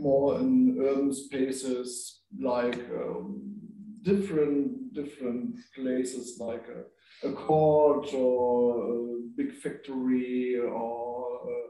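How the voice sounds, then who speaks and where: In a room with audible echo, a man with a German accent speaks at a very slow pace. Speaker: performance director. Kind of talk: panel discussion. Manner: halting.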